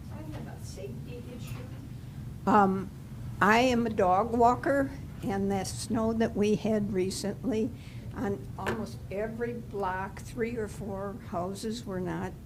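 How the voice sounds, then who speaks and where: With audible room echo, a woman speaks at a very slow pace and her pitch swings very widely. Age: 80s+. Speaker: resident, dog walker. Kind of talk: public comment at village board meeting. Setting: village board meeting.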